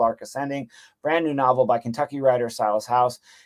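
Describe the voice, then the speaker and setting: Over a silent background, a man speaks with ordinary pitch variation in a very clean recording that sounds dry and close, with no echo. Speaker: college literature instructor. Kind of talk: recorded course introduction lecture. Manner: fast; casual, filler-heavy.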